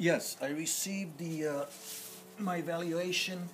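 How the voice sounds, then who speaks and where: At a fairly slow pace, a man with an American accent talks at fairly high pitch with ordinary pitch variation over noticeable background noise. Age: 60s. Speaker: former police officer. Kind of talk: interview.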